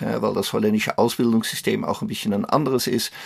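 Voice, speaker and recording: A man speaks with a slight Dutch accent. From Netherlands. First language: Dutch (speaking German). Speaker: career coach and author. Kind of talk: interview. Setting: remote call.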